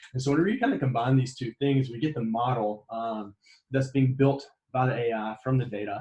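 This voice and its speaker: A man speaks at a fairly quick pace in a medium pitch. His somewhat breathy voice keeps a fairly even intonation. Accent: Southern US. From US South, Mississippi. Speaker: graduate student presenter. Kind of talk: lecture. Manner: fast.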